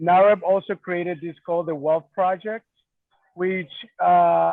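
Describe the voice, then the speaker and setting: In a Spanish accent, a man with a high-pitched voice talks at a moderate pace with fairly even intonation. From Mexico. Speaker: real estate association chapter president. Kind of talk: panel discussion.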